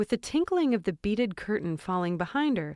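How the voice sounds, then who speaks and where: In a very clean recording with a silent background, a woman speaks at a moderate pace with lively intonation. She has a plain, everyday voice, and the sound is dry and close with no echo. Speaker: audiobook narrator. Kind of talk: horror audiobook narration.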